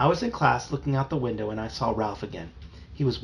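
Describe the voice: The pitch rises and falls in an ordinary way during this plain reading aloud.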